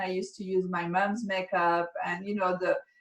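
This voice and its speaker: Her voice has a medium pitch. This woman speaks in a French accent. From France. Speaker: makeup artist and educator. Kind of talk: interview.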